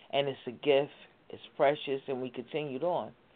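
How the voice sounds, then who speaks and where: A woman talks with a very deep, low pitch. Her pace is moderate. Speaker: caller. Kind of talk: on-air tribute. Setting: phone call.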